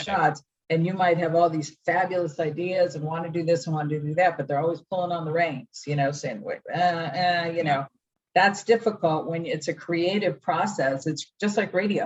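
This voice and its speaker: The speaker's somewhat breathy voice moves at a moderate pace with ordinary pitch variation. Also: woman, fairly low pitch for a woman. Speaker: radio host. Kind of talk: podcast interview answer.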